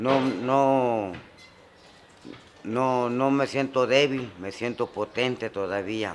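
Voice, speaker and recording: Speaking at a very slow pace with long, frequent pauses, a man holds a medium pitch and fairly even intonation. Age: 60s. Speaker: migrant. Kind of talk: testimony.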